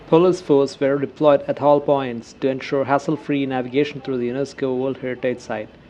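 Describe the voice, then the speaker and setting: With a Keralan accent and a fairly high pitch, a man talks at a fairly quick pace with fairly even intonation and hardly any pauses, against noticeable background noise. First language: Malayalam. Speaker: travel vlogger. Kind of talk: scripted narration.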